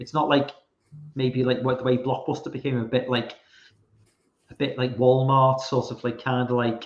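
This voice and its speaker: Here a man with a Liverpool accent talks at a moderate pace and a medium pitch. His intonation is monotone and flat, with long, frequent pauses. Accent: Liverpool (Scouse) English. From England, Liverpool. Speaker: horror film fan guest. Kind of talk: casual chat. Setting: live stream call.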